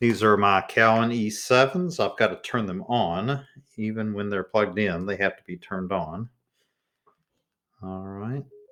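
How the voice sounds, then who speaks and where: A man's fairly low voice with a bright, sharp tone, ordinary pitch variation, a moderate pace and long, frequent pauses. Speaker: teacher testing a microphone. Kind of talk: tutorial. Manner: soft-spoken. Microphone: testing a new USB condenser mic, switching pickup patterns.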